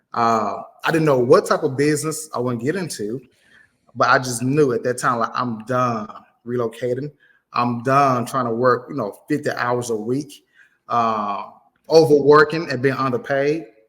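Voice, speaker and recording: Speaking with an American accent, the voice shows ordinary pitch variation. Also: man, medium pitch for a man. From Mississippi, US South. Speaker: insurance agency owner. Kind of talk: casual interview. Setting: video call.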